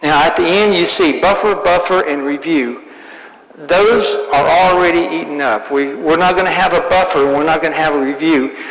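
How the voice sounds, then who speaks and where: A man's high-pitched voice with ordinary pitch variation, plus noticeable background noise and audible room echo. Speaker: Bible class teacher. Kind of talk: lecture. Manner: fast. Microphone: sound issues at start of recording.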